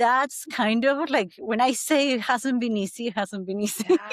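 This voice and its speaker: In a slight Argentine accent, a woman speaks at a moderate pace, the sound dry and close with no echo. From Argentina. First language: Spanish. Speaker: breathwork coach. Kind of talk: podcast interview, personal testimony. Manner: halting, many fillers.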